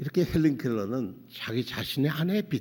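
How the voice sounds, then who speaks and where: A man at a moderate pace with lively intonation. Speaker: pastor. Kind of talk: sermon. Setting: church. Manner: halting, with self-corrections.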